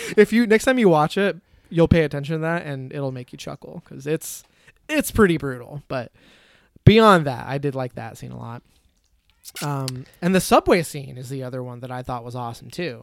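With an American accent and an unremarkable speaking voice, a man talks at a moderate pace and fairly high pitch, his intonation lively and his loudness swinging widely, in a dry, close sound with no echo. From US Midwest, Michigan. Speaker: podcast host. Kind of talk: casual chat.

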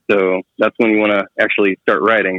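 A man speaks at a moderate pace with an American accent. His pitch is fairly low, a plain, everyday voice. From Central Texas (near Waco). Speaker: motorcycle shop owner and teacher. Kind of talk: casual chat. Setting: phone call.

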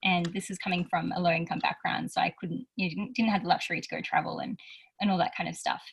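A woman with an Australian accent at a very fast pace. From rural Australia. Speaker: youth advocate and speaker. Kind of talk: interview conversation.

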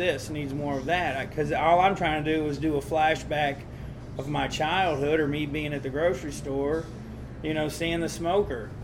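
A man talks in a Southern US accent at a fairly high pitch. His intonation stays fairly even over noticeable background noise. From Tennessee (Nashville, Smithville). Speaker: barbecue restaurant owner. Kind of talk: casual interview.

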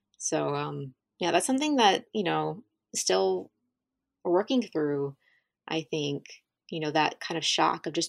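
A woman with a southern Ohio accent, fairly slow pace with long, frequent pauses, dry, close sound with no echo, very clean recording against a silent background. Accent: Midland American (southern Ohio). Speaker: podcast host. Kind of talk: casual interview.

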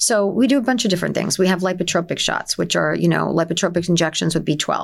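A woman speaks with a New Jersey accent. She goes at a very fast pace with ordinary pitch variation. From New Jersey, Essex County. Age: 50s. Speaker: wellness clinic owner. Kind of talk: casual interview.

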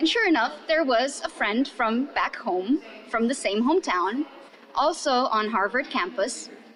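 Speaking at a fairly slow pace, a woman keeps a very even loudness while her high-pitched voice carries lively intonation. Noticeable background noise runs underneath. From Romania. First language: Romanian. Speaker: English teacher, pub quiz host. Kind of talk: casual interview storytelling.

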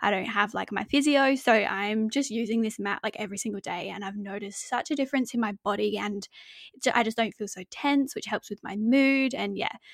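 A woman with an Australian accent at a fairly high pitch, fairly quick pace and ordinary pitch variation, in a dry, close sound with no echo. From Adelaide, Australia. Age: 20s. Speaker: podcast co-host. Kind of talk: casual chat. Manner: giggly.

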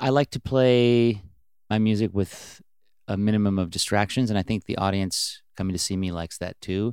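A man with an American accent and an unremarkable speaking voice talks at a moderate pace in a fairly low pitch with fairly even intonation, in a very clean recording with a silent background and a dry, close sound with no echo. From Washington state (Bellingham). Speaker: indie rock musician. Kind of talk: casual interview. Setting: guest room in a private house.

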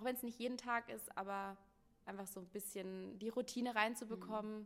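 At a fairly quick pace, a woman speaks in a plain, everyday voice at medium pitch with fairly even intonation. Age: 20s. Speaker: yoga teacher. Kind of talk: casual chat. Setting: sitting on a yoga mat in a pop-up store.

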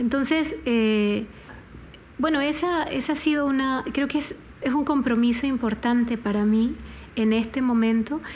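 Over noticeable background noise, a woman talks fairly slowly at a high pitch, with ordinary pitch variation and very even loudness. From Panama. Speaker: singer-songwriter. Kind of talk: interview. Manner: halting.

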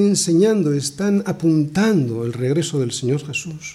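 A man with a Spanish accent speaks at a fairly slow pace with lively intonation. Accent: Spain. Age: 60s. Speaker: pastor. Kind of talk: sermon.

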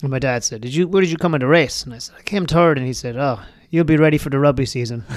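A man with a slight Irish accent, fairly high-pitched, very fast, with ordinary pitch variation and big swings in loudness. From rural Ireland. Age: 40s. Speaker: bar general manager and runner. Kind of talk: interview. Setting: studio.

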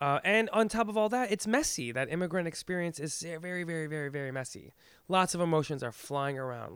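In a very clean recording with a silent background, a man with an American accent talks at a fairly high pitch with lively intonation. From Iran, immigrated to the US as a child. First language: Farsi. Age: 30s. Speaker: actor and theater director. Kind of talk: casual interview. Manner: halting, many repetitions.

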